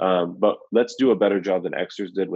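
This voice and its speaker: At a moderate pace, a man with an American accent speaks in an unremarkable speaking voice, fairly low in pitch and fairly even in intonation. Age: young. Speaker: ministry leader and author. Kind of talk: casual interview. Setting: video call.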